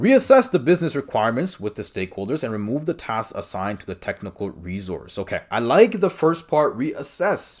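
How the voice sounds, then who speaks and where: Talking at a fairly quick pace with a non-native accent, a man is heard against a quiet background. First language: not English. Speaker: exam prep coach. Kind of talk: tutorial. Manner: casual, conversational with fillers. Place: home room. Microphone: webcam.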